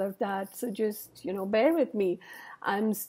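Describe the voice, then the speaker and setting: A woman's voice with a dark, mellow tone over a quiet background. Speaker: wellness coach. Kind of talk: casual vlog chat. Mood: warm, encouraging. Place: home room. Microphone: earbuds.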